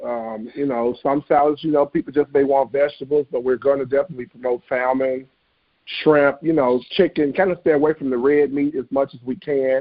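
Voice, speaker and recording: A man with a Memphis accent, a fairly high pitch, fairly even intonation and a fairly quick pace. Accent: Southern US (Memphis). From US South, Memphis, Tennessee. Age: 30s. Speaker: chef, food truck owner. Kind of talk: interview.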